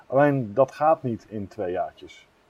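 A man talks with his pitch in the medium range. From northern Netherlands, near Groningen. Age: 30s. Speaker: carp angler and fishery owner. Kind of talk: interview. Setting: outdoors on a veranda.

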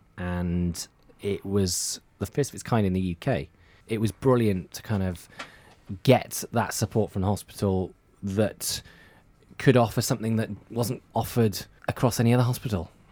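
A man with a Welsh accent and a dark, mellow tone, at a moderate pace with ordinary pitch variation and long, frequent pauses, on a very clean recording with a silent background. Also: fairly low pitch for a man. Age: 30s. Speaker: radio presenter. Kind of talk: casual chat.

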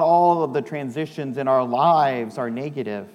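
Music in the background, beneath speech of ordinary pitch variation. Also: man. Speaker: pastor. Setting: church. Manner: solemn, fervent, slow and measured, with pauses after each petition.

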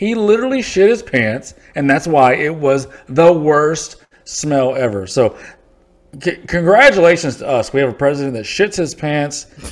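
A man has an unremarkable speaking voice at a fairly high pitch. He talks at a moderate pace with lively intonation. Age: 40s. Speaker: podcast co-host. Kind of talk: casual chat.

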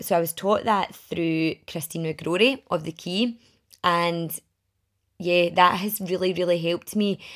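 In a very clean recording with a silent background, a woman with a Glaswegian accent speaks at a moderate pace in a fairly low voice, with ordinary pitch variation. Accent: Glaswegian Scottish. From Scotland, Glasgow area (Milngavie). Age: 30s. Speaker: podcast host and women's networking group founder. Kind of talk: casual solo podcast talk.

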